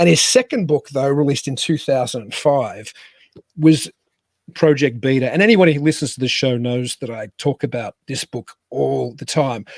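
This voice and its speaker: With an Australian accent, a man talks at a moderate pace and medium pitch, with ordinary pitch variation and big swings in loudness, in a dry, close sound with no echo. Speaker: podcast host. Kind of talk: guest introduction; casual chat. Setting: home studio in a cabin.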